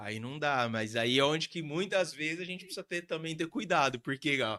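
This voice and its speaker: Bright, sharp tone from a man at a fairly high pitch, lively intonation, dry, close sound with no echo and a very clean recording over a silent background. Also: moderate pace. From Brazil, Santos coast of São Paulo. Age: 30s. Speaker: real estate agent and pastor. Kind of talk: podcast interview.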